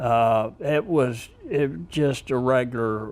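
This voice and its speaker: A man at a very slow pace, medium in pitch. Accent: American. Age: 80s+. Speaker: war veteran. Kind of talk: interview answer.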